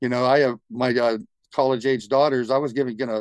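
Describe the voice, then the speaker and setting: A man's medium-pitched, plain, everyday voice at a fairly quick pace, dry and close with no echo against a quiet background. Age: 60s. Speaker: guitarist. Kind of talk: casual interview.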